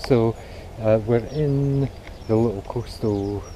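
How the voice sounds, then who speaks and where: A man talks at a very slow pace in a Scottish accent. His medium pitch shows ordinary variation over noticeable background noise. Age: 60s. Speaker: amateur runner vlogger. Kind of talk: casual vlog narration. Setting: outdoors. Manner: hesitant, many fillers.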